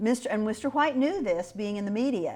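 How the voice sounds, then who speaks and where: A woman with a Midwestern US accent speaks with lively intonation. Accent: US Midwest. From Kansas. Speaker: local historian. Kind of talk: oral history interview. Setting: historic house.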